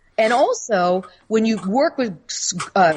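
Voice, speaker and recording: A woman with an American accent and very wide pitch swings, over noticeable background noise. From United States. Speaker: author and spirit communicator. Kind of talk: casual interview.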